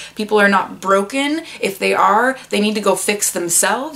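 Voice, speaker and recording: With noticeable background noise behind her, a woman speaks at a medium pitch and a moderate pace. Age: 20s. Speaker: booktuber, bookseller. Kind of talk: casual talk to camera. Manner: subdued, not peppy; quieter, roommates asleep.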